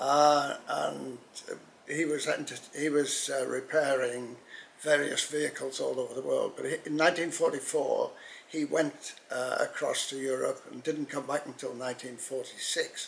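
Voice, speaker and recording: Noticeable background noise behind a man's fairly slow speech. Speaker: pen expert. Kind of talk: interview. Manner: halting.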